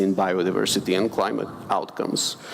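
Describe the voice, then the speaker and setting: This is a man speaking. He has a Bulgarian accent. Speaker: finance expert, panelist. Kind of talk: panel discussion. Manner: hesitant, many fillers and repetitions.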